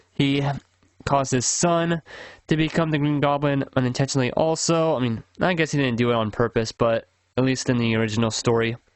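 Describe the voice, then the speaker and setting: Fairly quick speech with very even loudness and ordinary pitch variation. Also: man, medium pitch for a man. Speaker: comics YouTuber. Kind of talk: tier list commentary. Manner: fast; casual, hesitant with fillers.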